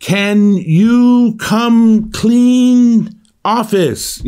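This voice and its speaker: Loud and fairly even in intonation, a man performs a put-on character voice at a high pitch. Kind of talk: simplified broken phrasing. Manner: talking down.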